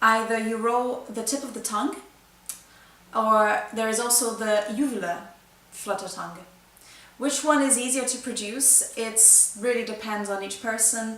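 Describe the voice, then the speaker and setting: With long, frequent pauses, a woman at a fairly high pitch speaks at a moderate pace and with fairly even intonation, amid noticeable background noise and audible room echo. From Brazil. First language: Brazilian Portuguese. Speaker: flutist. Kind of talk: tutorial. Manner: halting.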